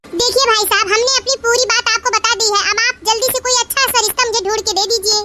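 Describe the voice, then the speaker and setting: In a cartoonish character voice, a woman sounds squeaky and extremely high-pitched, speaking at a fairly quick pace with hardly any pauses, monotone, flat intonation and very even loudness. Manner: insistent, picky.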